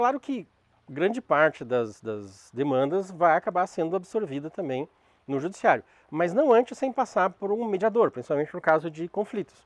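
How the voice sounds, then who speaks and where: Pitch swings very widely at a moderate pace. The sound is dry and close with no echo, over a quiet background. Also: man, high pitch for a man. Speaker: lecturer on restorative justice. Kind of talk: lecture. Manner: halting.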